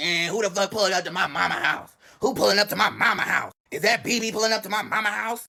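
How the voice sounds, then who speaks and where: A raspy, high-pitched man's put-on character voice at a very fast pace. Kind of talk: casual slang. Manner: confused, alarmed.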